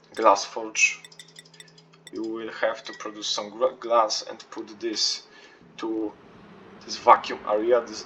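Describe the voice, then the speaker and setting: A man with a non-native accent speaking very slowly amid noticeable background noise. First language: not English. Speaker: video game player. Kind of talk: game tutorial walkthrough. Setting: low-quality home recording. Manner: hesitant, many fillers.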